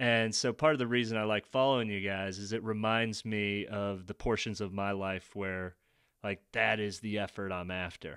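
A man with an ordinary speaking voice, fairly low pitch and fairly even intonation at a moderate pace, in a very clean recording with a silent background. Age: 30s. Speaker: author and amateur marathon runner. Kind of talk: casual chat.

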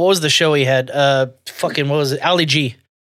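Talking at a fairly quick pace, a man with a Southern US accent shows ordinary pitch variation. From US South. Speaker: podcast host. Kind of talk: casual chat.

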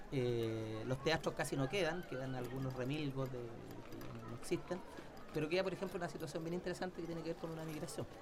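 A man speaks at a fairly quick pace with ordinary pitch variation. Music plays in the background, and room echo is audible. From Chile, Santiago. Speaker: historian. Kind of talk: casual interview. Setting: studio.

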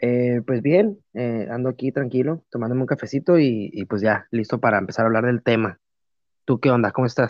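A man with a plain, everyday voice speaks at a moderate pace, his pitch medium with ordinary variation. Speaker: podcast co-host. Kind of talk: casual chat.

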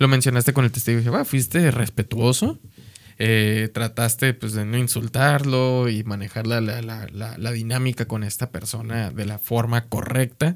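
A man at a medium pitch and moderate pace, fairly even in intonation, over noticeable background noise. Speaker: podcast co-host. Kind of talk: casual chat.

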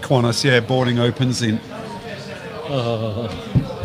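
Noticeable background noise surrounds a man who speaks with an Australian accent at a medium pitch. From Whyalla, South Australia. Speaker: football supporters club chairman. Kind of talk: casual chat. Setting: pub, live stream.

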